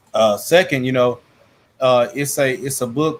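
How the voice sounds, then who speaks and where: Speaking with an American accent, a man keeps a medium pitch, a moderate pace and a fairly even intonation. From US South. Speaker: YouTube channel host on Bible teaching. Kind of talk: casual discussion. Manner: halting, many fillers.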